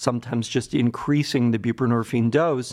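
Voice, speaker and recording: In a quiet background, a man with an American accent and a medium pitch talks at a fairly quick pace. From Cleveland, Ohio, US Midwest. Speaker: psychiatrist, addiction medicine director. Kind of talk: interview.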